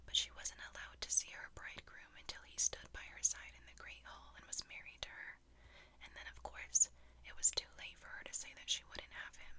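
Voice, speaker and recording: Someone whispers in a calm tone at a moderate pace. Noticeable background noise runs underneath. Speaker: storyteller. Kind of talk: ASMR bedtime fairytale reading. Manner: calm, soft-spoken.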